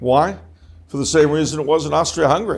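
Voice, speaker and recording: Talking at a very fast pace, a man with a fairly high pitch shows vocal fry. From Los Angeles, California. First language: French. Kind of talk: talk to an audience. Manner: conversational with jokes and asides.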